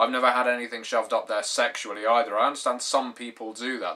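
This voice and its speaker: A man with a British accent speaks at a fairly quick pace over a quiet background. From Britain. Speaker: YouTube tabletop gaming vlogger. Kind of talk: vlog monologue. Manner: formal. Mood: wry, mildly sarcastic. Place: home room. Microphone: webcam.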